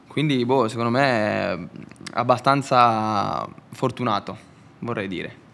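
A man with vocal fry and a bright, sharp tone speaks at a very slow pace, leaving long, frequent pauses. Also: medium pitch for a man, ordinary pitch variation. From Italy. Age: young. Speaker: motorcycle racer. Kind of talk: casual interview.

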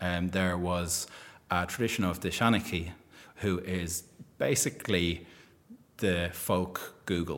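A man's very deep, low voice, monotone and flat, at a fairly slow pace with long, frequent pauses. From Ireland, Dublin. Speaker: magazine editor and marketing entrepreneur. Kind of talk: interview. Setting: live event recording. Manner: lilting storytelling delivery.

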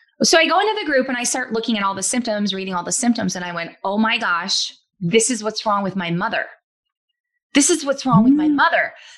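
A woman speaks at a fairly quick pace with lively intonation. She has a plain, everyday voice with a fairly high pitch. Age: 30s. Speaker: e-commerce entrepreneur. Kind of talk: casual chat.

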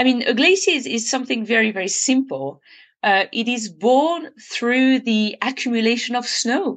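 The speaker has a French accent and lively intonation at a moderate pace. The background is quiet. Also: woman, high pitch for a woman. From French Alps (Annecy). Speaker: glaciologist. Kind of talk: interview. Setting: remote call.

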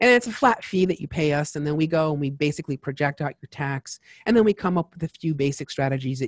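Talking very fast in an American accent, a man has a somewhat breathy voice with ordinary pitch variation. The sound is dry and close, with no echo. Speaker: tax advisor. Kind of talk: interview. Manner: animated.

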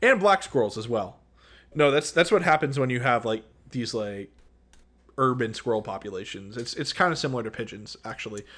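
On a very clean recording with a silent background, a man with an ordinary speaking voice talks fairly quickly at medium pitch, with lively intonation and big swings in loudness. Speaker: podcast co-host. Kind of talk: casual chat. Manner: playful, jokes with put-on voices.

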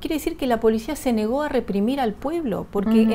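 A high-pitched woman at a fairly quick pace, with noticeable background noise. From Argentina, arrived from Bolivia at age four. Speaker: political analyst. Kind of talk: TV interview.

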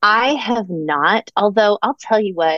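The woman's voice has a medium pitch. She talks in an American accent. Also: dry, close sound with no echo. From Orlando, Florida. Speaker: comedic writer and performer. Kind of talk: casual interview chat.

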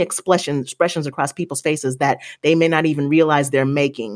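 A woman with a very deep, low pitch and an American accent speaks with ordinary pitch variation in a very clean recording with a silent background. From US, grew up in military communities. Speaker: podcast guest, commentator on colorism. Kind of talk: casual interview chat.

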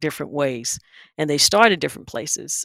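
A woman with a Southern US accent, in a very clean recording with a silent background and a dry, close sound with no echo. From eastern North Carolina, Wilson. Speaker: corporate executive. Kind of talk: interview.

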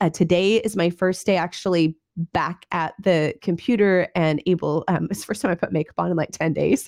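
A woman talks at a moderate pace with a fairly low pitch, ordinary pitch variation and vocal fry. The sound is dry and close, with no echo. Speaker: podcast host. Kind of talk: casual interview chat.

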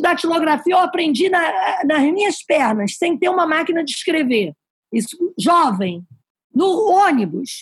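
Her pitch extremely high and swinging very widely, a woman talks at a fairly slow pace with very even loudness. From Brazil, Paraíba (Campina Grande). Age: 60s. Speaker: immigrant former house cleaner. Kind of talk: interview storytelling. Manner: direct.

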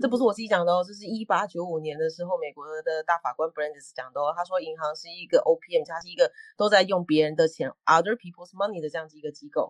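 A woman rushes along at a very fast pace with hardly any pauses, her fairly low voice showing ordinary pitch variation and big swings in loudness, in a dry, close sound with no echo. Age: 40s. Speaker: law professor researching payments. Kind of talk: explanatory lecture-style chat.

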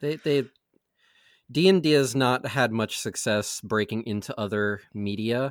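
A man's normal speaking voice at a fairly slow pace, with ordinary pitch variation, on a very clean recording with a silent background. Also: medium pitch for a man. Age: 20s. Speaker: podcaster, tabletop gaming show cast member. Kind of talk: casual chat.

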